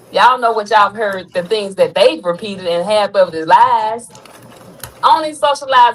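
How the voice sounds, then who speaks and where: Someone speaks at a fairly quick pace with lively intonation against noticeable background noise. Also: woman. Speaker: content creator. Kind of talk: heated debate. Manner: firm.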